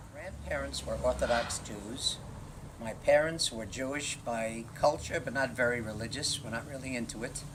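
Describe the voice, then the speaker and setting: Lively intonation marks this speaker, who talks with a New York accent. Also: man. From Brooklyn, New York. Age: 70s. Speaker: retiree interviewed for oral history. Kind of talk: oral history interview.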